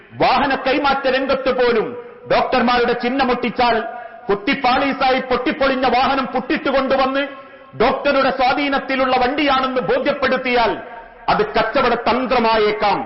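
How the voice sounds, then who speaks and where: A man talks at extremely high pitch with fairly even intonation and very even loudness. Noticeable background noise is present. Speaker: Islamic preacher. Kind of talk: Islamic religious sermon.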